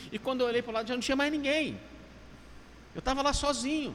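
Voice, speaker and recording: Here a man speaks at an extremely high pitch. His pitch varies in an ordinary way. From Minas Gerais, Brazil. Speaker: pastor. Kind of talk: casual chat.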